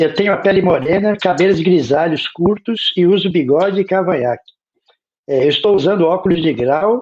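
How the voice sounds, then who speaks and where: A man at a high pitch with ordinary pitch variation and a moderate pace. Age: 60s. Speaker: academic panelist on translation studies. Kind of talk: lecture.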